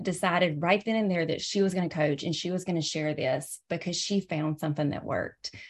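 Someone with a Southern US accent talks with ordinary pitch variation in front of a quiet background. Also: woman. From US South. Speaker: presenter. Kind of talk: webinar presentation. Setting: video call.

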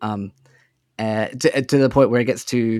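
In a very clean recording with a silent background and a dry, close sound with no echo, a man with an Australian accent talks at medium pitch and a moderate pace. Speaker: podcaster and father. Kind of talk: casual chat.

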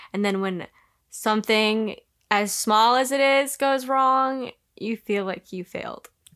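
Here is an unremarkable speaking voice with ordinary pitch variation. The pace is fairly slow. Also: woman, fairly high pitch for a woman. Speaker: sibling guest. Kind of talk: casual chat.

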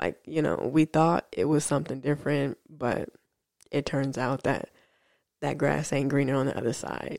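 Recorded very cleanly against a silent background, a woman with a very deep, low voice and vocal fry talks at a moderate pace with fairly even intonation. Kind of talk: solo podcast monologue. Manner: hesitant with frequent fillers.

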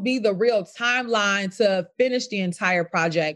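Against a quiet background, a woman with an American accent and a plain, everyday voice speaks at a fairly slow pace and medium pitch with ordinary pitch variation. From US Midwest, south side of Chicago. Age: 20s. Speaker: real estate broker. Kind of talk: interview.

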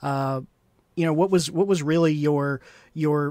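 The recording is very clean, with a silent background. A man with an unremarkable speaking voice talks at a moderate pace, fairly high in pitch, with fairly even intonation. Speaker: livestream host. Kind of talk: interview, casual chat. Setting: live stream.

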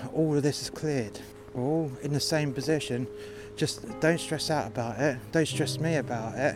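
A man's fairly high, angry voice in a British accent, with noticeable background noise. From UK. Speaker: takeaway worker telling a story. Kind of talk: angry rant. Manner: angry, sweary, venting.

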